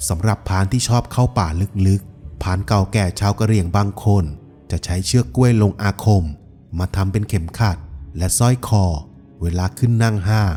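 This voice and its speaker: A man with a fairly low pitch speaks while music plays behind him. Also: ordinary pitch variation. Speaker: voice-over artist. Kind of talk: documentary-style folklore narration.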